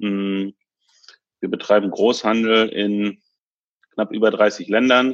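With flat, monotone intonation, a man talks in a fairly low register. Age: 30s. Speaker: tech company executive. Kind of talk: interview.

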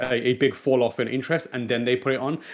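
A man with an East London accent and ordinary pitch variation. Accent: East London British English. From born in Pakistan, raised in England. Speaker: video game news show host. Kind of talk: casual chat. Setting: studio.

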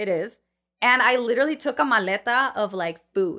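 A woman's high, bright, sharp voice with lively intonation at a moderate pace on a very clean recording with a silent background. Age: 20s. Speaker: food truck owner. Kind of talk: casual chat.

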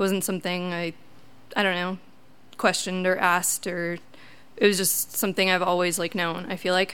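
In an American accent, a woman talks at a medium pitch and a moderate pace with monotone, flat intonation. Audible room echo surrounds her voice. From Wisconsin, US Midwest. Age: 20s. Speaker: storyteller. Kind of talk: live personal storytelling. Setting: stage with audience. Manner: halting, many ums.

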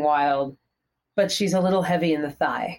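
A woman with an American accent and an ordinary speaking voice, at a moderate pace. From US Northeast, Pennsylvania. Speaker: fitness instructor and cyclist. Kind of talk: casual interview chat. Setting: video call.

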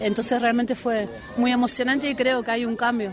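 A woman's fairly high voice at a very fast pace with fairly even intonation, with audible room echo and crowd noise in the background. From Argentina, Buenos Aires. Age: 50s. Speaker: football coach. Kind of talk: interview. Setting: outdoors.

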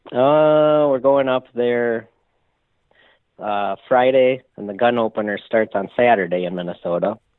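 A man with an American accent and a normal speaking voice, medium in pitch with ordinary pitch variation, at a fairly slow pace. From US Midwest. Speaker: hunter calling in. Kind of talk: call-in report. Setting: phone call.

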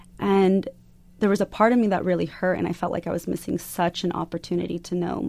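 A woman with a fairly low voice speaks in an American accent on a very clean recording with a silent background. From US Southwest, Arizona. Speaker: activist. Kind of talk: interview. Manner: halting, many fillers.

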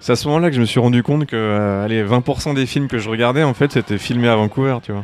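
Speaking very fast, a man uses a medium pitch. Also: ordinary pitch variation, hardly any pauses. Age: 30s. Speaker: concept artist. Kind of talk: interview. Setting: bar.

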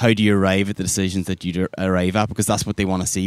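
Someone speaks with an Irish accent and monotone, flat intonation. The recording is very clean with a silent background, dry and close with no echo. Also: man. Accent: Irish accent, noticeable. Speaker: design recruiter. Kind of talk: podcast interview. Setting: outdoors by a river.

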